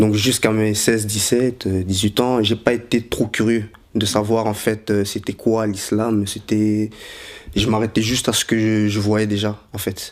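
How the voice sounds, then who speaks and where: Monotone, flat intonation runs through speech delivered at a fairly slow pace. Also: man. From Belgium, Brussels. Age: 20s. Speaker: convert telling his story. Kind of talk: testimony. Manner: halting, many hesitations.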